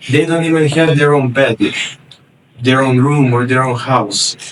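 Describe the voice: A man's medium-pitched voice at a slow pace, with ordinary pitch variation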